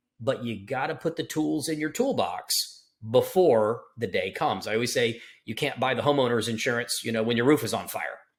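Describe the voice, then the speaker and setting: With an American accent and lively intonation, a man talks in a normal speaking voice on a very clean recording with a silent background. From Florida, Tampa. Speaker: estate planning attorney. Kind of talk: interview.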